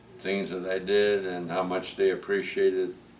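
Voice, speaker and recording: In a room with audible echo, a man with an American accent talks at a fairly low pitch and a fairly slow pace. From US Midwest, Milwaukee. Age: 90s. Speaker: retired teacher and coach. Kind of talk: family interview. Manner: halting.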